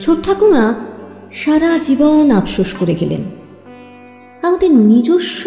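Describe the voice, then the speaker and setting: Music plays in the background as a woman speaks with very wide pitch swings. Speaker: poetry reciter. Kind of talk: poetry reading.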